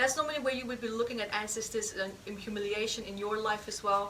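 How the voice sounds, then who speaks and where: A woman with a non-native accent at a very fast pace, with ordinary pitch variation, noticeable background noise and audible room echo. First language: not English. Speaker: healing practitioner and teacher. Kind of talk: live healing demonstration. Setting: stage with audience.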